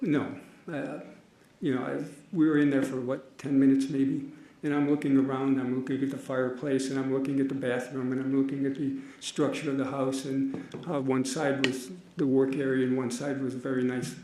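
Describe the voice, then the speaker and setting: Amid noticeable background noise and audible room echo, a man at medium pitch speaks at a fairly quick pace in a monotone, flat intonation. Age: 80s+. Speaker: trial witness. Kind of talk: court testimony. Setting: courtroom.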